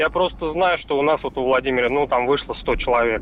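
Noticeable background noise accompanies a man talking at a moderate tempo. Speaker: magazine editor. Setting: phone call.

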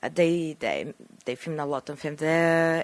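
A woman with a Japanese accent and a very deep, low pitch at a fairly slow pace, in a very clean recording with a silent background. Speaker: film director. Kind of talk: interview.

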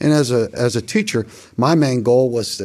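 With a western Pennsylvania accent, the speaker goes at a fairly slow pace with ordinary pitch variation. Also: man. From US, Beaver Falls, western Pennsylvania. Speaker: retired coach and teacher. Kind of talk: casual interview.

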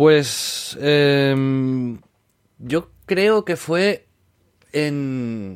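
A man talks with lively intonation. His pitch is fairly high. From Catalonia, Spain (Maresme, near Barcelona). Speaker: influencer agency founder, former video game journalist. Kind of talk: casual interview. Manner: halting, frequent repetitions.

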